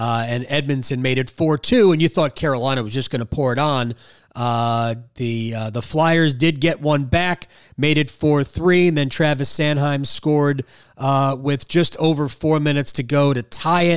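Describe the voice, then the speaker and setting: Man with an ordinary speaking voice, fairly high pitch, ordinary pitch variation and moderate pace, on a very clean recording with a silent background. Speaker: podcast host. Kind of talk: post-game hockey podcast, casual analysis.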